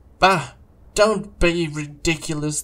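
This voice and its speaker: A put-on character voice from a man, pitched fairly high. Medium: read story. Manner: loud, bragging.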